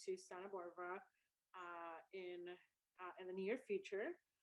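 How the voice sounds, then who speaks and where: A woman is speaking. She has a Spanish accent. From El Salvador. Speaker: university student services director. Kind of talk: introduction speech on a video event.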